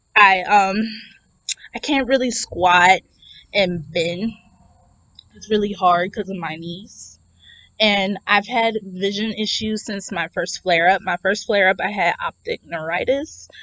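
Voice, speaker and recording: A woman speaks at a fairly slow pace and medium pitch, with ordinary pitch variation and a bright, sharp tone. Long, frequent pauses and big swings in loudness stand out in a dry, close sound with no echo. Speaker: vlogger living with multiple sclerosis. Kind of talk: personal vlog talking to camera. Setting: outdoors. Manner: stuttering, speech delays.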